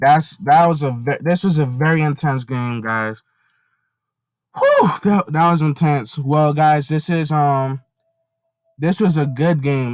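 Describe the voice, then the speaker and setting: The man's voice is quiet and fairly high in pitch. He talks at a fairly slow pace with ordinary pitch variation. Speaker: gaming commentator. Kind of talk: live gameplay commentary.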